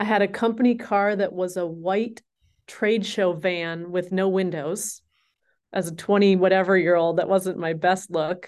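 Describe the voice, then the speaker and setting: With an American accent, this is an unremarkable speaking voice at a moderate pace. Intonation stays fairly even over a quiet background. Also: woman. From US Midwest, Minnesota. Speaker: advertising agency CEO. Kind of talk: interview.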